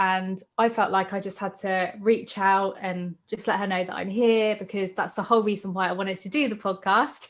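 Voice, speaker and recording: A woman with a British accent speaks at medium pitch and a moderate pace, recorded very cleanly against a silent background. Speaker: podcast host. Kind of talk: casual chat.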